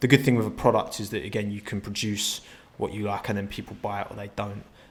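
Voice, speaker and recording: Speaking at a very fast pace, a man with a fairly low pitch keeps his intonation fairly even while his loudness swings widely. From London borough of Havering, east London / Essex. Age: 20s. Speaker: YouTuber. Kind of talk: interview. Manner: halting, many repeated words.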